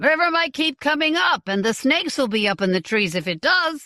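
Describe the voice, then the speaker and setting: Using a put-on character voice, a woman speaks at a high pitch with very wide pitch swings, very even loudness and a fairly quick pace. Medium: read story. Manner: blunt, rough-spoken.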